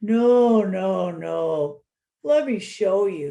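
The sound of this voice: A man performs a put-on character voice at a high pitch. His intonation is lively.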